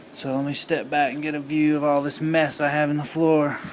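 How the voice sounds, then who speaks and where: With audible room echo and noticeable background noise, a man speaks at a fairly high pitch in a monotone, flat way at a moderate pace. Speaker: car audio hobbyist. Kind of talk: tutorial. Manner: casual.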